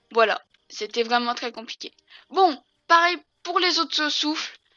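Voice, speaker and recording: Pitched high, a woman's voice moves at a fairly slow pace. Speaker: gaming YouTuber. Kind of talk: gameplay tutorial. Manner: hesitant, many fillers.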